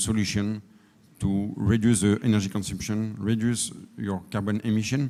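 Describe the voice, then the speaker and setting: A man's fairly low voice with a French accent, fairly even intonation and a dark, mellow tone. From France. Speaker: energy efficiency consultant. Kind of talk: conference panel talk. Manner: halting.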